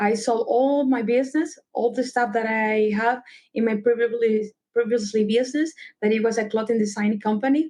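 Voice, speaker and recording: A woman speaks in a Salvadoran accent at a moderate pace, her voice fairly high-pitched with a dark, mellow tone. Her intonation stays fairly even and her loudness very even. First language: Spanish. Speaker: travel concierge. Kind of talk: podcast interview.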